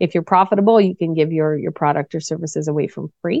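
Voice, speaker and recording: Speaking at a very fast pace, a woman with a fairly low pitch talks in a Maritime Canadian accent. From Nova Scotia, Canada. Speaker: business coach. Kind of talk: interview.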